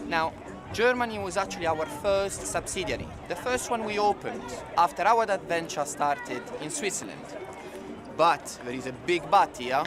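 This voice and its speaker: A man with an Italian accent talks at a moderate pace with lively intonation, over noticeable background noise. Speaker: corporate event presenter. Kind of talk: event presentation.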